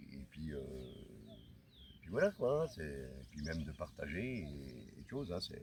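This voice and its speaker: A man speaks very slowly, his very deep, low pitch edged with vocal fry. His intonation is lively. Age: 60s. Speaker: hiker vlogger. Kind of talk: vlog talk. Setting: outdoors. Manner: halting.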